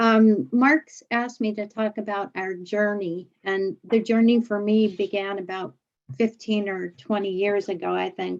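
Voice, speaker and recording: Against a quiet background, a woman with an ordinary speaking voice talks at a fairly slow pace, with medium pitch and fairly even intonation. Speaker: law firm innovation director. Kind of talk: panel presentation.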